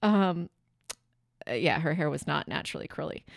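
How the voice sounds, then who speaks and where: On a very clean recording with a silent background, a woman at a medium pitch comes through in a dry, close sound with no echo. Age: 40s. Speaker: podcast host and entrepreneur. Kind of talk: personal storytelling reading aloud from mother's notebook. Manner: halting.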